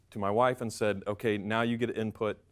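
Against a quiet background, a man with an American accent talks at a moderate pace. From North Carolina. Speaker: MBA student; speaker. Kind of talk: speech to audience. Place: hall. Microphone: lapel.

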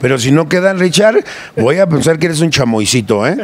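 A man speaks with a Mexico City accent at a fairly quick pace in an animated tone. There is light background noise, and the sound is dry with no echo. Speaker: sound system owner. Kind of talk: casual interview. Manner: halting. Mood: jovial, joking. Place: factory. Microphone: handheld.

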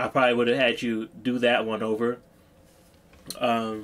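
A man is speaking here. His pace is fairly quick. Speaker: music reviewer. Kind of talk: casual reaction commentary. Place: home room.

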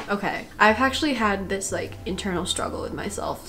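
Light background noise accompanies a woman as she speaks. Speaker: college student vlogger. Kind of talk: casual vlog chat. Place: home room. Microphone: camera far.

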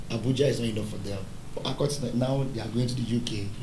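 A man with a Nigerian accent at a fairly quick pace, ordinary pitch variation, audible room echo and light background noise. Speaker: pastor and business founder. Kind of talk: panel discussion. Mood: cheerful, smiling, joking. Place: studio.

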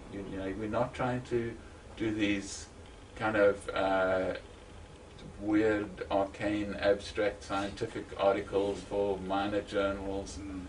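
Over noticeable background noise, a man with a fairly low pitch talks very slowly in a monotone, flat delivery. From South Africa, Eastern Cape. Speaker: psychology academic. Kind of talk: interview. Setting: at home.

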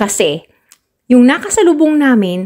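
Against a quiet background, a woman speaks at a fairly slow pace with very wide pitch swings. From Philippines. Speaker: travel vlogger. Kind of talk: vlog narration. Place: farm machine. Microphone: phone near.

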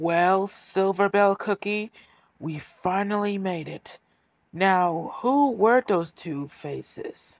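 In a put-on character voice, a man speaks at a very slow pace with a high pitch and ordinary pitch variation, the sound dry and close with no echo on a very clean recording with a silent background. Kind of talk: audio drama dialogue.

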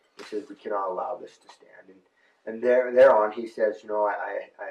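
At a moderate pace, a man with an American accent talks amid audible room echo. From US West, northern Arizona. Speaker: rancher and protest occupier; interviewee. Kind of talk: on-location interview. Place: home room. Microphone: camera far.

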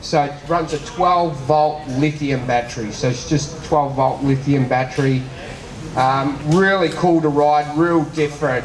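Audible room echo and light background noise surround a man speaking fairly slowly with fairly even intonation. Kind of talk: speech to an audience at a product launch.

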